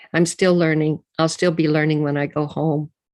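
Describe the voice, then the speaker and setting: A woman's very deep, low-pitched voice with monotone, flat intonation. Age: 70s. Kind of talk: panel talk.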